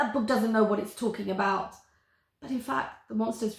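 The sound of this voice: An unforced reading voice over a quiet background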